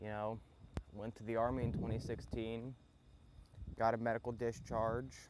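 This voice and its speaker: Speaking with a Southern US accent, a man uses a medium pitch and monotone, flat intonation. His pace is fairly slow, with long, frequent pauses. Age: young. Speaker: podcast host, mechanic. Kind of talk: casual monologue. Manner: laid-back, hesitant with fillers.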